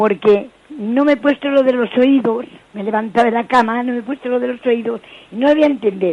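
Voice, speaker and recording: The woman speaks at a fairly quick pace and a high pitch. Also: ordinary pitch variation. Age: 80s+. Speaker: caller, elderly listener. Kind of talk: phone-in testimony. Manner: halting, rambling.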